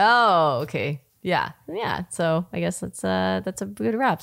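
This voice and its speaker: At a fairly slow pace, a woman talks in a normal speaking voice. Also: very clean recording, silent background. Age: 30s. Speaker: podcast host. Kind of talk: casual chat.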